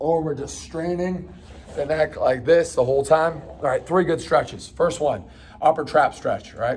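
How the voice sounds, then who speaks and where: At a moderate pace, a man speaks with an ordinary speaking voice at a fairly high pitch. His intonation is fairly even. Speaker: fitness coach. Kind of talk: guided stretching tutorial. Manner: casual, encouraging.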